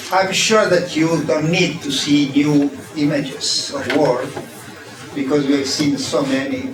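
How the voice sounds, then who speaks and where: With an Italian accent and a fairly high pitch, a man talks at a very slow pace with fairly even intonation and long, frequent pauses, over noticeable background noise and audible room echo. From Italy. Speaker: design professor. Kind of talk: keynote lecture. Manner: halting, many fillers.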